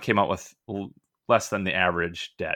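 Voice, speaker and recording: A man's very deep, low voice with a bright, sharp tone and an Upper Midwest accent, fairly quick and fairly even in intonation, on a very clean recording with a silent background. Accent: Upper Midwest American. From US upper Midwest, Minnesota. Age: 40s. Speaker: retired physician and finance blogger. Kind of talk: casual interview.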